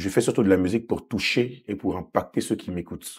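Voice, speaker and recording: In an Ivorian accent, a man speaks at a fairly quick pace and fairly low pitch, with a dark, mellow tone and fairly even intonation. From Côte d'Ivoire (Abidjan), moved to France at seven. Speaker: gospel singer. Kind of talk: interview.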